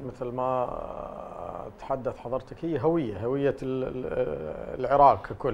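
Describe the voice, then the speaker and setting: Against light background noise, a man speaks very slowly at a fairly high pitch. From Iraq. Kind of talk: TV panel discussion. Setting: studio. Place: studio. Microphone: lapel.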